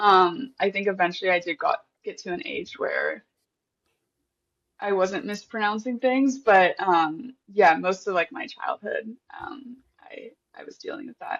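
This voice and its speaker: Speaking with a General American accent at a fairly slow pace, the voice has long, frequent pauses. Pitch swings are very wide, and loudness swings are big. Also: woman. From Southern California. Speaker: software engineer and designer. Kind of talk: interview.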